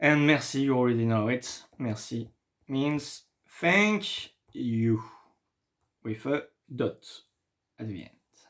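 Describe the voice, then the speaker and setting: A man with a French accent at a medium pitch, very slow pace, long and frequent pauses, lively intonation and big swings in loudness. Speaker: French teacher. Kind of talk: tutorial. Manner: halting.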